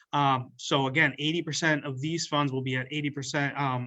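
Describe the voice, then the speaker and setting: A man speaks in a fairly high pitch with fairly even intonation. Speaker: state funding agency representative. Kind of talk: webinar presentation. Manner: fast.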